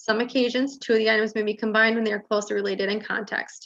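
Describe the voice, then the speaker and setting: Talking at a very fast pace, a woman uses a medium pitch, fairly even intonation and vocal fry. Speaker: search consultant presenting survey results. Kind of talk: presentation to school board.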